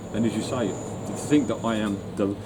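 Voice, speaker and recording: Noticeable background noise with audible echo from the room. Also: man. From London. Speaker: retired musician. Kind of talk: interview. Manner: halting.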